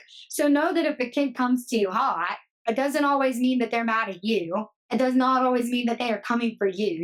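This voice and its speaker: A woman speaks fairly quickly in a normal speaking voice. Her pitch sits fairly high. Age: 30s. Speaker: teacher. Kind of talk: casual chat. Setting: podcast.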